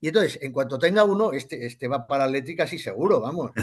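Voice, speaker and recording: With an animated tone, a man speaks at a fairly quick pace, his pitch swinging very widely. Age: 60s. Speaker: football club member. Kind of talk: casual interview chat.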